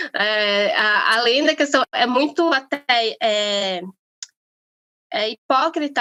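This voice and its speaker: A woman speaks with fairly high pitch. Her pitch variation is ordinary. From Brazil, Amazonas. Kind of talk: interview conversation. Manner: halting, many fillers.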